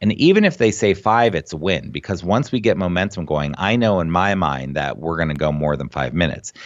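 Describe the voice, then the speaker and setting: A man talks at a fairly quick pace with hardly any pauses, his very deep, low voice showing vocal fry. His tone is animated and his intonation lively. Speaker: executive function coach for students. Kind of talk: podcast interview.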